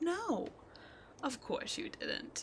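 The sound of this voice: A woman puts on a character voice at an extremely high pitch, with big pitch swings. She goes at a very slow pace over faint background noise.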